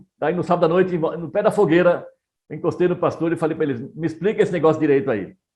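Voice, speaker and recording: Moving at a fairly quick pace, a man with a high pitch speaks in a dark, mellow tone. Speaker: missionary pastor. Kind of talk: interview conversation.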